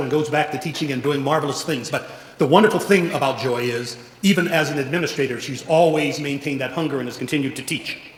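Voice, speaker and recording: A man speaks very fast with a fairly high pitch and fairly even intonation. Noticeable background noise sits behind him. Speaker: college president. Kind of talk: event introduction speech.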